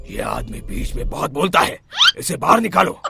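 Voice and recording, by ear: A man performs a cartoonish character voice at a moderate pace.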